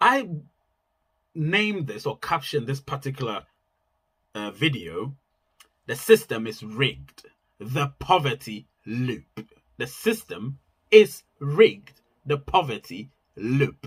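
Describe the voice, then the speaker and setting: Very slowly, a man speaks in a fairly high, somewhat breathy voice. His pitch swings very widely, and he leaves long, frequent pauses. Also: big swings in loudness. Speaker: YouTuber giving money advice. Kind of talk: casual monologue vlog.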